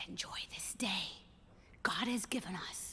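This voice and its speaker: A woman whispers in a put-on character voice. She goes at a fairly slow pace. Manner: gentle, kind.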